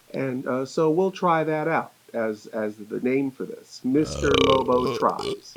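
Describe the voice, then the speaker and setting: Over noticeable background noise, a man speaks at a very slow pace with lively intonation. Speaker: horror host. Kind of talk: casual talk to camera. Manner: rambling, hesitant, jokey.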